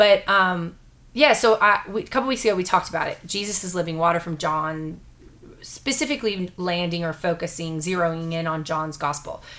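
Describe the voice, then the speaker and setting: A woman's plain, everyday voice, fairly low in pitch, with ordinary pitch variation, a fairly quick pace and a very clean recording over a silent background. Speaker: pastor and podcast host. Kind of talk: casual conversational podcast discussing the Bible. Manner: warm, joking, conversational.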